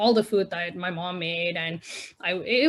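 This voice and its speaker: On a very clean recording with a silent background, a woman's fairly low voice shows ordinary pitch variation. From India, moved to Canada at twelve. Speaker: spoken word poet. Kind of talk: interview. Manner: casual, filler-heavy.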